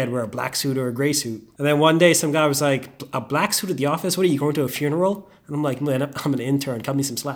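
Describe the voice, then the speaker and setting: Very fast male speech with a Bahamian accent and fairly even intonation. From Bahamas. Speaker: investment banker. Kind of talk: casual chat.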